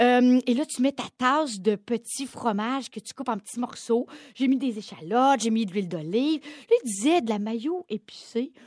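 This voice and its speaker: A woman speaks at a fairly slow pace in a high voice, with ordinary pitch variation and hardly any pauses, in a dry, close recording with no echo. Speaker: podcast co-host. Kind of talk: casual chat.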